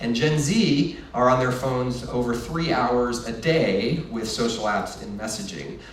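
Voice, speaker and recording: A man speaks at medium pitch. Audible room echo and noticeable background noise surround him. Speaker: marketing executive giving a keynote. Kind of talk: conference presentation. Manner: fast; hesitant fillers.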